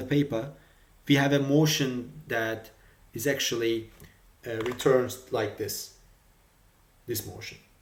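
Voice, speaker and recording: The speaker has a non-native accent and a somewhat breathy voice, talking at a very slow pace with audible room echo. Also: man. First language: not English. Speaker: robotics hobbyist tutorial maker. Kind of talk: tutorial. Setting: screen recording with OBS. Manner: halting, many fillers and repetitions.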